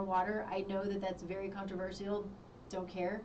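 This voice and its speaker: A woman is speaking with audible room echo. Noticeable background noise runs beneath her. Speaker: health talk show host. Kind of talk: health advice talk. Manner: animated.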